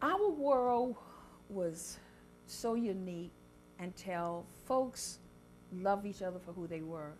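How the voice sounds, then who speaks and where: A woman speaks fairly slowly at a medium pitch, in an American accent. Her pitch swings very widely. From South Carolina Lowcountry. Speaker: chef and cookbook author. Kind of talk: interview answer.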